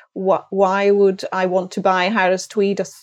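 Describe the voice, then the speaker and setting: Speaking with a Hebridean accent, a woman talks at a medium pitch and a moderate pace. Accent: Hebridean Scottish. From Outer Hebrides, Scotland (Isle of Lewis). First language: Scottish Gaelic. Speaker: textile company sales director. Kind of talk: interview.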